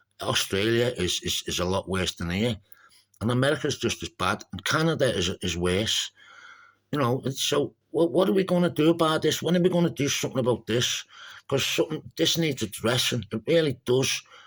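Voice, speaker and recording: On a very clean recording with a silent background, a medium-pitched man in a Scouse accent talks fairly quickly, his pitch swinging very widely. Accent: Scouse (Liverpool English). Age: 50s. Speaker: activist vlogger. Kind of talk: personal monologue. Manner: halting, repetitive.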